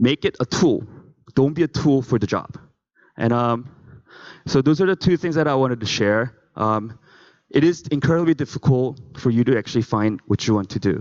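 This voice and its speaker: A man with a non-native accent talks at a moderate pace with long, frequent pauses, his medium-pitched voice showing ordinary pitch variation in a dry, close sound with no echo. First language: not English. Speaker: conference speaker. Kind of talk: motivational talk.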